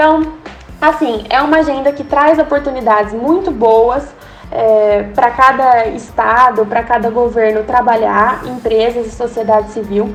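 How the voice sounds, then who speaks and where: Speaking at a fairly slow pace, a woman uses a high pitch with ordinary pitch variation. Noticeable background noise is present. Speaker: sustainability researcher. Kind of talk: podcast interview.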